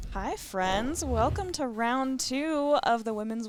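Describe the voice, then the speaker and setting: A woman's fairly slow speech amid noticeable background noise. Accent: General American. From Colorado. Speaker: pinball commentator. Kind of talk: live commentary.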